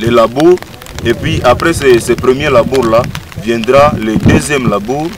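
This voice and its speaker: With music in the background, a man speaks at a fairly slow pace in a dry sound with no echo. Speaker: interviewee. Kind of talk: interview answer. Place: open country.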